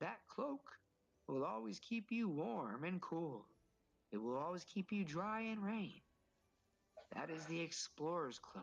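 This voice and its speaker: Someone uses a put-on character voice at a middle pitch and a fairly slow pace. Long pauses come often. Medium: actual play. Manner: hearty, jovial, warm.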